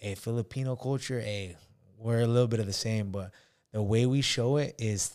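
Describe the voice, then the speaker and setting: Speaking at a moderate pace with an American accent, a man uses fairly even intonation in an ordinary speaking voice. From California. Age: 20s. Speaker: marine veteran and student. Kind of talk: casual chat.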